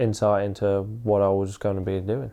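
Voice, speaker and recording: A man speaks with a Lincolnshire accent at a fairly quick pace. His pitch sits fairly low. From Louth, Lincolnshire, England. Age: 20s. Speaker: motorcycle road racer. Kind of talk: interview answer. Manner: casual.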